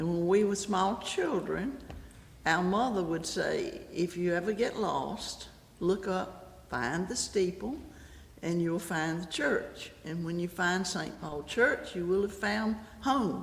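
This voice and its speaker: A woman with an American accent at a very slow pace, medium in pitch with ordinary pitch variation, in audible room echo. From Goldsboro, North Carolina, US South. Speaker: church member. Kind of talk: testimony.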